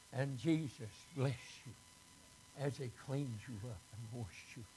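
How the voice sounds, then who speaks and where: The voice has a dark, mellow tone, sounds somewhat breathy, and shows ordinary pitch variation. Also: man. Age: 80s+. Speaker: pastor. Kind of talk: sermon. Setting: church. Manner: halting.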